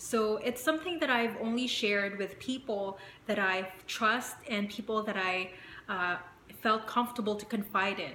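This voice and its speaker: Audible room echo surrounds a woman whose fairly high pitch moves in fairly even intonation at a moderate pace. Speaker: vlogger. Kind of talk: personal vlog. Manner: conversational with many fillers.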